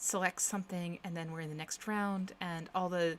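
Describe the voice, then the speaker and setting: A soft-spoken woman talks at a moderate pace. Her fairly low pitch has fairly even intonation. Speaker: programmer live streamer. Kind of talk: live coding stream.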